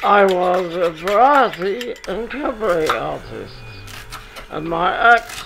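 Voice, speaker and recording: Lively in intonation, a man speaks with a high pitch. Noticeable background noise runs underneath. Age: 90s. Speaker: retired marionette puppeteer. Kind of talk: documentary interview, casual chat.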